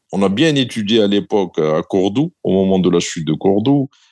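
A man's unremarkable speaking voice, fairly low in pitch, at a fairly slow pace. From southern Algeria, M'zab valley. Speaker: former central bank governor. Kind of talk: interview.

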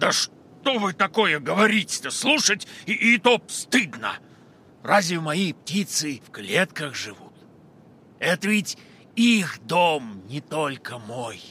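Very wide pitch swings mark a man's high voice, which moves at a fairly slow pace with long, frequent pauses. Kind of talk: children's radio play.

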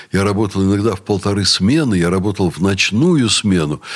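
A man speaks at a moderate pace. He has an ordinary speaking voice with fairly low pitch. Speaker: university rector. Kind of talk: radio talk show interview. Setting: studio.

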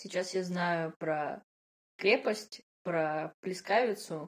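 Fairly even intonation from a woman with a fairly low pitch. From Russia, Yekaterinburg (Urals). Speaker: podcast co-host, product manager. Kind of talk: casual chat.

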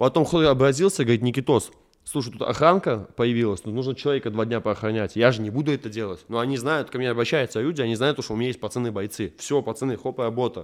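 Talking very fast at a medium pitch, a man uses ordinary pitch variation on a very clean recording with a silent background. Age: 20s. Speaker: pop MMA fighter and blogger. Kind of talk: casual interview.

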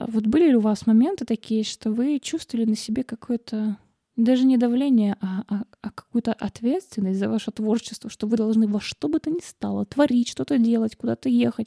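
A woman's fairly high, somewhat breathy voice has a dark, mellow tone and sounds dry and close, with no echo. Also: ordinary pitch variation, moderate pace. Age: 30s. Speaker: writer and podcast host. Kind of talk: casual monologue. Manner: animated.

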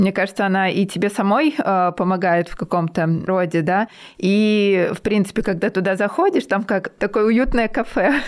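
A woman talks at a moderate pace in a plain, everyday voice of medium pitch. Her pitch varies normally and her loudness stays very even. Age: 30s. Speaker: podcast host, English teacher. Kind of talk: casual interview; scripted outro. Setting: remote video call.

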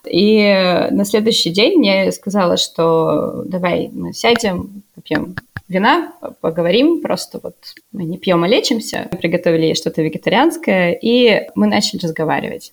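A normal speaking voice at a fairly slow pace, with lively intonation. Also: woman, medium pitch for a woman. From Russia, Novosibirsk. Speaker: volunteer interpreter and university researcher. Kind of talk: casual chat.

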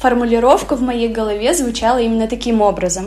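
A woman with a fairly high pitch is heard through noticeable background noise and audible room echo. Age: 30s. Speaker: podcast host. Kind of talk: casual chat.

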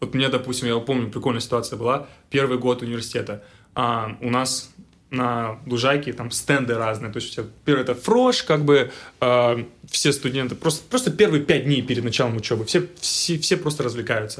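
Here is an unremarkable speaking voice from a man at medium pitch. He moves at a moderate pace with ordinary pitch variation. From Russia, Tyumen. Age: 20s. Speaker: engineer. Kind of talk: casual chat.

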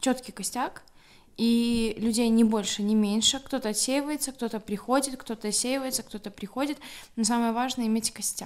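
A woman speaks with a Belarusian accent at a moderate pace. Her pitch is fairly high and her intonation fairly even. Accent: Belarusian accent in Polish. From Belarus, Grodno. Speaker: humanitarian aid volunteer. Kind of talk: casual interview.

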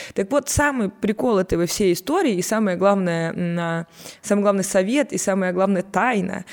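The voice belongs to a woman with medium pitch. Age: 20s. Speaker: communications agency partner. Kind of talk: casual chat.

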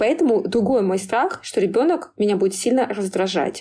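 On a very clean recording with a silent background, a woman is heard. Her medium pitch carries a dark, mellow tone. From small town in Tver region, Russia. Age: 30s. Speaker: PR director. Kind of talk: interview.

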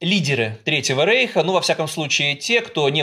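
This man has a fairly high pitch and a bright, sharp tone. His pitch swings very widely at a moderate pace. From Russia, Saint Petersburg. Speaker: historian and journalist. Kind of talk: interview.

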